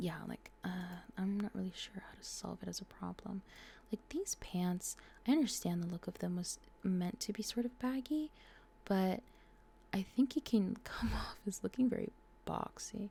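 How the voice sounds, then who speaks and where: Soft-spoken delivery at a moderate pace. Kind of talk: soft-spoken ASMR gaming commentary. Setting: home recording, condenser mic.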